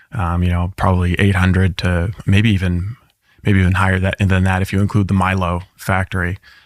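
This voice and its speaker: A man's very deep, low voice in a monotone, flat delivery at a fairly quick pace, over a very clean recording with a silent background. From Maine, central (Dexter). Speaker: interview guest. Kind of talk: interview. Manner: halting, many fillers.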